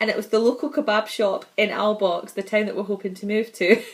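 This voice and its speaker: Speaking fairly quickly, a woman talks in a Scottish accent. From Scotland. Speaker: vlogger, mother. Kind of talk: casual vlog monologue.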